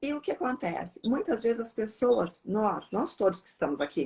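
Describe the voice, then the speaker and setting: A woman talks at a moderate pace, her fairly high pitch swinging very widely. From southern Brazil, Porto Alegre. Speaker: psychiatrist. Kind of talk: live Q&A conversation. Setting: Instagram live video.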